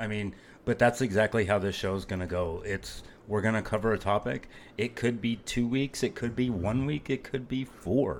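At a moderate pace, a normal speaking voice shows ordinary pitch variation on a very clean recording with a silent background. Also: man, medium pitch for a man. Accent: American. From Phoenix, Arizona. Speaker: podcast co-host. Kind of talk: casual chat.

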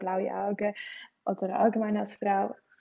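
Speaking in a Swiss accent, a woman keeps a medium pitch and a monotone, flat intonation at a moderate pace. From Switzerland. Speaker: student and solo backpacker. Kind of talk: casual interview chat. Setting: internet call.

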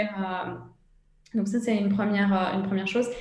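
Over noticeable background noise and audible room echo, a woman talks at a moderate pace and a medium pitch. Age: 20s. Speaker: entrepreneur. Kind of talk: interview. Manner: halting.

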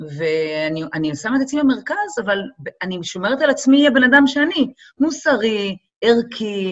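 Fairly slow, fairly high speech from a woman, full of very wide pitch swings. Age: 40s. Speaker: model and event producer. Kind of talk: casual chat.

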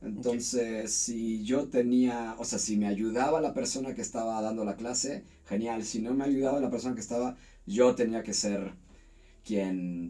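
A man's medium-pitched voice, dark and mellow in tone, with ordinary pitch variation at a moderate pace. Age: 40s. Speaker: university teacher. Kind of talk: casual interview.

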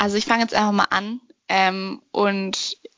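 This woman talks at a medium pitch in a monotone, with flat intonation. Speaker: podcast co-host. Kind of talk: casual discussion. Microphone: no proper mic, bad connection.

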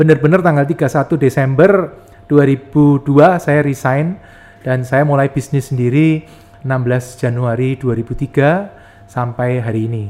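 Speaking very slowly, a man with a Yogyakarta accent uses a fairly high pitch and ordinary pitch variation. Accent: Javanese (Jogja). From Yogyakarta, Java, Indonesia. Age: 40s. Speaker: property investor and entrepreneur. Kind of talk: podcast interview.

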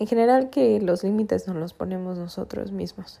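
Here a woman speaks at a medium pitch. Her tone is dark and mellow. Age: 20s. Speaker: podcast host. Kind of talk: personal monologue.

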